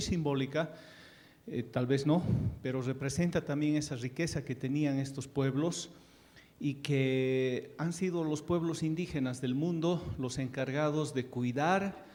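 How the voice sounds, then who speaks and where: A man with an Andean accent talks fairly slowly. His pitch is fairly high and his intonation fairly even. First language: Quechua (speaking Spanish). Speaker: ambassador, panelist. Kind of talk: panel speech. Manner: hesitant, many fillers.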